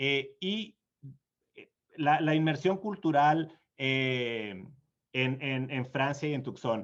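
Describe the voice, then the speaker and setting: Delivered at a very slow pace, the speech has lively intonation. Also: man. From Mexico, small town in Sonora. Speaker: diplomat. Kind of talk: conference Q&A answer. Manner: hesitant, many fillers and repeats.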